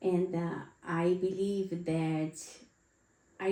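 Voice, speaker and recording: A woman with a non-native accent and a dark, mellow tone speaks in fairly even intonation, with audible room echo. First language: not English. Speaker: podcast co-host. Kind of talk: casual chat.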